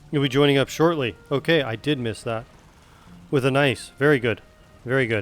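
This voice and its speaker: Over music in the background, a man with a Western Canadian accent talks at a moderate pace, medium pitch and ordinary pitch variation. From West Coast Canada. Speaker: game streamer. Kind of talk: casual chat.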